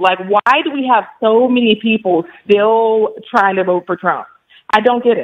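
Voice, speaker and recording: A woman speaks in an ordinary speaking voice at a fairly slow pace. Her pitch is fairly high, with ordinary pitch variation. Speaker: radio show caller. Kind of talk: phone call to radio show.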